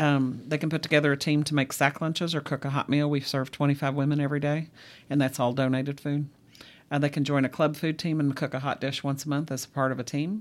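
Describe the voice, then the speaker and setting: A woman's very deep, low pitch in a Kentucky accent, very fast pace and monotone, flat intonation, on a very clean recording with a silent background. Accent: Kentucky (US South). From Central Kentucky. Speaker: ministry outreach worker. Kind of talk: interview. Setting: studio.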